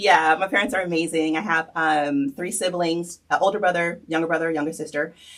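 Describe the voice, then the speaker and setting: The speaker talks at a fairly quick pace with hardly any pauses over noticeable background noise. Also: woman, fairly low pitch for a woman. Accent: American. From New Jersey. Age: 40s. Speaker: fitness trainer. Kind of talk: interview. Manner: animated.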